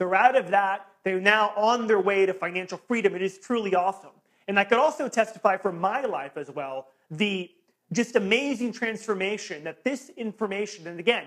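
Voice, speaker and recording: A loud, high-pitched man in an animated tone, at a moderate pace with ordinary pitch variation. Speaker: real estate investing coach. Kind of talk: sales pitch.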